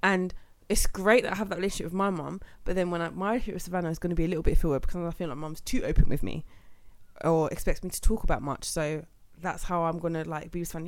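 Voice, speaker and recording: Speaking at a very fast pace with big swings in loudness, a woman with a London accent uses a fairly low pitch and ordinary pitch variation. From London, England. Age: 20s. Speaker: podcast host. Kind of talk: casual chat.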